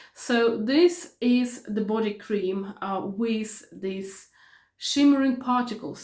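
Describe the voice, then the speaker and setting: A somewhat breathy woman speaks in a fairly high pitch with ordinary pitch variation. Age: 40s. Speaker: beauty vlogger. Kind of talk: product review vlog. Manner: hesitant, with many fillers and repetitions.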